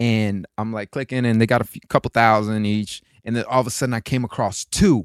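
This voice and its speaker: Speaking with an American accent, a man has an ordinary speaking voice at a medium pitch, going at a fairly quick pace with hardly any pauses and fairly even intonation, in a very clean recording with a silent background and a dry, close sound with no echo. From Florida. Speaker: actor and podcast co-host. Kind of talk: casual chat. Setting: studio.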